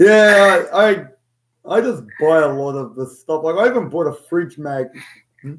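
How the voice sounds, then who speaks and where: Here a man speaks with an Australian accent and lively intonation. His pitch is high and his pace moderate. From Australia (Sydney). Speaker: podcast co-host. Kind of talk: casual chat.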